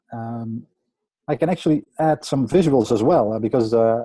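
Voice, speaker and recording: A man with a Dutch accent speaks in a dark, mellow tone. His intonation is lively. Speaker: website conversion optimizer. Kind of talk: group coaching call presentation. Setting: video call. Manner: halting, many fillers.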